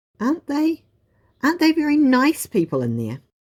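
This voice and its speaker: A put-on character voice pitched high. The recording is very clean, with a silent background. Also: moderate pace. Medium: read story. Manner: timid, wondering.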